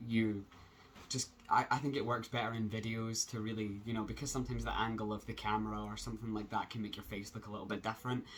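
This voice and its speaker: A man with a Scottish accent, very fast pace. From Scotland. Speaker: transgender vlogger. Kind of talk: casual vlog update. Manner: hesitant, many fillers.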